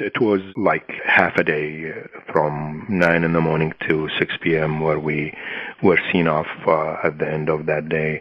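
A man speaks at a fairly slow pace in a very deep, low voice with an Arabic accent. His intonation is monotone and flat over noticeable background noise. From Iraq, Najaf. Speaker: peace activist. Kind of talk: interview. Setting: phone call.

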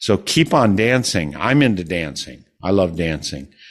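With an Upper Midwest US accent, a man speaks in a very deep, low pitch against a quiet background. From Wisconsin.

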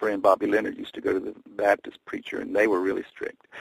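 In a dry, close sound with no echo, a man with a Tennessee accent talks at a fairly quick pace. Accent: Tennessee Southern US, moderate. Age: 60s. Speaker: singer-songwriter. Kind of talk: casual interview chat.

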